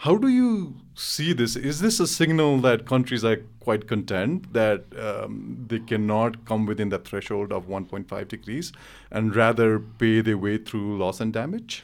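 In a Nepali accent, a man speaks fairly slowly at a medium pitch with ordinary pitch variation, on a very clean recording with a silent background. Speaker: interviewer, policy think tank director. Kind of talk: interview conversation.

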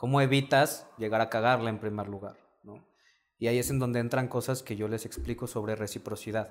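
A man speaks in an unremarkable speaking voice at a medium pitch, with fairly even intonation and a fairly quick pace. His loudness swings widely on a very clean recording with a silent background. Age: young. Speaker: dating coach. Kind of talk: casual chat.

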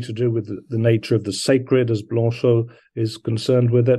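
At a moderate pace, a man speaks in a medium pitch with a dark, mellow tone that is somewhat breathy. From London and Brisbane. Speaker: poet and scholar. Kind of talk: interview.

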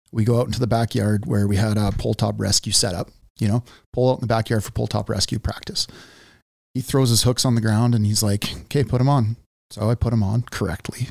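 On a very clean recording with a silent background and a dry, close sound with no echo, a man speaks at a medium pitch in a somewhat breathy voice at very even loudness. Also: fairly even intonation, fairly quick pace. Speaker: journeyman lineman and podcast host. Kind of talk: casual interview conversation. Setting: studio.

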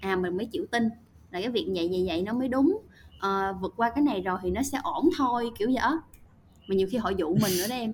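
Lively intonation marks a woman's somewhat breathy delivery. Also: fairly high pitch for a woman. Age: 20s. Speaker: marketing and content professional, university student. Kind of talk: casual interview.

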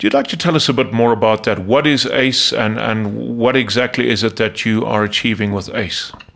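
A man with an ordinary speaking voice talks at a fairly quick pace in a medium pitch, with ordinary pitch variation and hardly any pauses. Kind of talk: interview.

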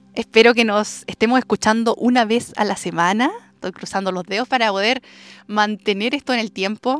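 This woman has a fairly high pitch and speaks at a moderate pace. The very clean recording has a silent background and a dry, close sound with no echo. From southern Chile, rural Andes. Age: 20s. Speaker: podcast host. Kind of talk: personal storytelling monologue. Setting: outdoors in the countryside. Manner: warm, affectionate.

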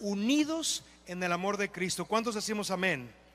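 A man uses a raised, projected voice with very wide pitch swings. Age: 40s. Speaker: pastor. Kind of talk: sermon. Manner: animated.

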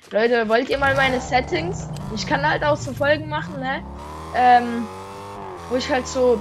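A woman with a fairly high pitch speaks at a fairly slow pace, taking long, frequent pauses. Her pitch swings very widely over noticeable background noise. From Switzerland. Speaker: gaming YouTuber. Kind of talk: gameplay commentary. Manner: animated.

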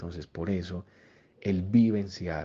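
Intonation is monotone and flat. The delivery keeps a moderate pace. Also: man. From Colombia, Antioquia (Copacabana near Medellín). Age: young. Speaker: education entrepreneur. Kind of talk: interview monologue. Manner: expressive.

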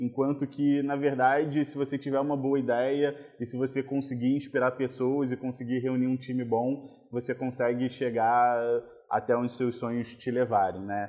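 Against a quiet background, a man with a medium pitch and a dark, mellow tone speaks at a moderate pace in a monotone, flat intonation. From Rio de Janeiro, Brazil (Copacabana). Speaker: oncologist and carnival band founder. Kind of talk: interview conversation. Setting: podcast recording.

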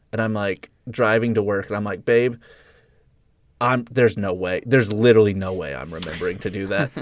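A man with a fairly low pitch and ordinary pitch variation speaks at a fairly quick pace in an unremarkable speaking voice. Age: 30s. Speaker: podcast co-host, filmmaker. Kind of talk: casual chat.

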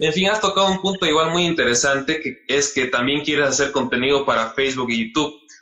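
A man races along at a very fast pace with hardly any pauses and very even loudness. His pitch is fairly high with ordinary variation, over noticeable background noise. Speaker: podcast host. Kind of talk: interview.

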